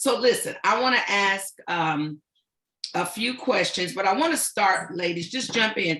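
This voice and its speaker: A woman's medium-pitched voice at a fairly slow pace, with lively intonation and an ordinary speaking voice. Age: 60s. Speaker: talk show host and organization president. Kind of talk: panel discussion.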